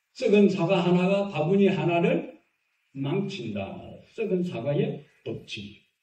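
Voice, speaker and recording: Speaking very slowly with a Gyeongsang accent, a man uses a high pitch with ordinary pitch variation and a dark, mellow tone. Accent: Gyeongsang Korean dialect. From Gyeongsang region, Korea. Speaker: pastor. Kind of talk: sermon.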